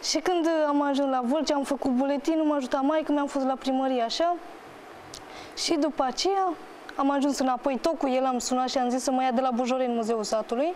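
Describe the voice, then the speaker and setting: Over light background noise, a woman with a high pitch talks at a fairly quick pace, her loudness very even and her intonation fairly even. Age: 20s. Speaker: talk show guest telling personal story; talk show guest. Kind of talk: emotional testimony on TV talk show. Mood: distressed, heartbroken storytelling. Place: studio.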